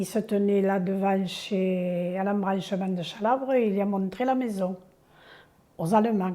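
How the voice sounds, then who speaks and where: Her tone dark and mellow, a woman speaks at a medium pitch and fairly slow pace with fairly even intonation. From southern France, Aude. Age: 70s. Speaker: elderly villager sharing memories. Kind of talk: oral history interview. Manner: halting.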